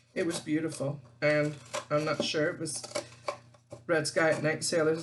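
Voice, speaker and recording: A woman's very deep, low voice at a moderate pace over noticeable background noise. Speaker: craft youtuber. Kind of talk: craft tutorial. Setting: home craft room. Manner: casual, chatty.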